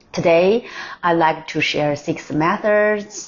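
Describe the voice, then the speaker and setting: A woman with a non-native accent speaks at a very slow pace, her fairly low voice marked by lively intonation. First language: not English. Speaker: language learner vlogger. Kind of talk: tutorial. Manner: halting with self-corrections.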